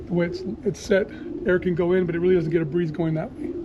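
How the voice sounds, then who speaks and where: A high male voice at a very fast pace, ordinary pitch variation, over noticeable background noise. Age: 60s. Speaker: pigeon fancier. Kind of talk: casual chat.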